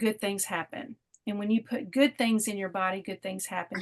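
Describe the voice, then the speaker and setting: Speech comes at a fairly quick pace with ordinary pitch variation, in a dry, close sound with no echo. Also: woman. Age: 50s. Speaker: wellness product distributor. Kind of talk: testimony. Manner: animated.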